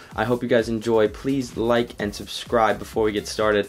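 Faint music plays behind a man who talks at a fairly quick pace. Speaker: fitness vlogger. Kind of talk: casual vlog chat.

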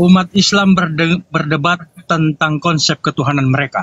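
The voice moves at a fairly slow pace with ordinary pitch variation in a dry, close sound with no echo. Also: man. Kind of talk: debate. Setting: online voice room.

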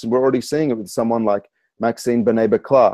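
The speaker has an Australian accent, a dark, mellow tone, and fairly even intonation. The sound is dry with no echo against a quiet background. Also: man. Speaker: spoken word poet, author and rapper. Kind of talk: interview answer. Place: home room. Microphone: earbuds.

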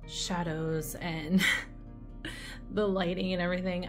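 A woman's fairly low voice at a fairly slow pace, with fairly even intonation and clear music in the background. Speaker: candle wax reviewer. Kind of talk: casual vlog chat. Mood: light, slightly unsure. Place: home room. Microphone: phone near.

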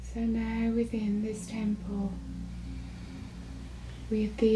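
A woman is speaking. Her tone is calm. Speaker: meditation channel / guide. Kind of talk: guided meditation. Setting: live-recorded group gathering. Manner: slow, calm, soft-spoken.

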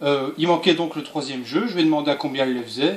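A man talks with audible echo from the room and a light layer of background noise. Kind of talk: casual vlog chat. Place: home room.

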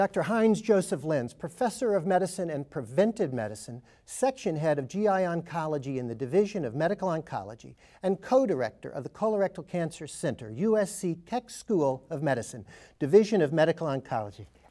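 Speech at a fairly quick pace over a quiet background. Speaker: panel moderator. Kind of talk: formal program introduction. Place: studio.

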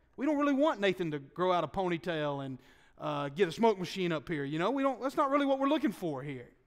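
A man with a Southern US accent, high pitch, very wide pitch swings and a very fast pace. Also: quiet background. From US South. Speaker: pastor. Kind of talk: sermon. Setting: church. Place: church. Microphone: podium.

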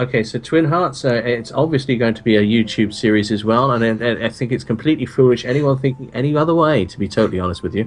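A man talks at a very fast pace. His pitch shows ordinary variation. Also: hardly any pauses. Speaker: co-host of a game stream. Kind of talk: casual livestream chat.

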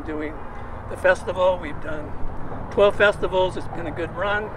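At a moderate pace, a man speaks with fairly high pitch and fairly even intonation against clear background noise.

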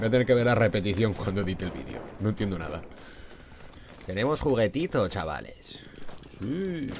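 With a Spanish accent, a man speaks at a moderate pace in a fairly low voice with lively intonation. Long, frequent pauses break up his speech. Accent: Peninsular Spanish. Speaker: gaming youtuber. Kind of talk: gameplay commentary. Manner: animated.

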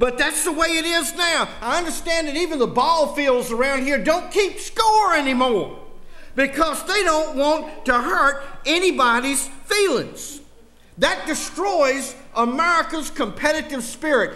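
In a Southern US accent, a man uses a raised, projected voice with a warm tone, an extremely high pitch, ordinary pitch variation and a fairly slow pace. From US South. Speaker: political rally speaker. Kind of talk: fiery political rally speech laced with preaching. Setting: church with live audience. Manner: punchy, emphatic repetition building indignation; folksy joking to warm the crowd. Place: church. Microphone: podium.

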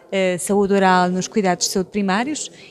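Light background noise behind a woman's moderate pace. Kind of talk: interview answer. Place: office. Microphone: handheld.

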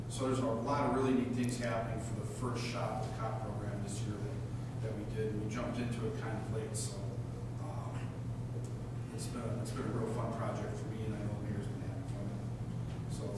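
A man talking at a fairly quick pace amid loud background noise, with audible room echo. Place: hall.

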